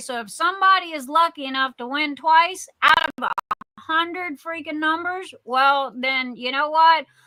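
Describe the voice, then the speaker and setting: A raised, projected voice with a bright, sharp tone moves at a moderate pace with ordinary pitch variation. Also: woman. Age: 60s. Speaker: livestream host, craft shop owner. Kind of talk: casual livestream chat. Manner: halting, many fillers; animated.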